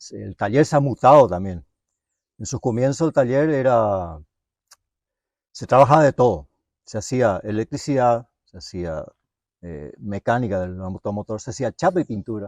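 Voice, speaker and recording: Against a quiet background, a man with a medium pitch speaks at a moderate pace with lively intonation, big swings in loudness and long, frequent pauses, the sound dry and close with no echo. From Misiones, northeast Argentina. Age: 60s. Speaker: mechanic, workshop owner. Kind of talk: interview, life story. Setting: at home. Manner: halting, many fillers.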